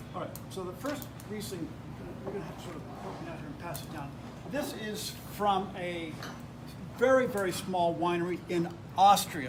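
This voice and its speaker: Recorded with audible room echo and noticeable background noise, a man with a high voice and an American accent speaks at a moderate pace with ordinary pitch variation, big swings in loudness, and long, frequent pauses. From United States. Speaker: wine tasting instructor. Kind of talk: tasting class lecture.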